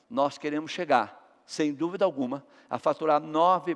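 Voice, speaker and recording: Against a quiet background, a man with an unremarkable speaking voice and a fairly high pitch talks at a fairly slow pace. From Brazil, São Paulo. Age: 60s. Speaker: business executive. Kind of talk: motivational talk.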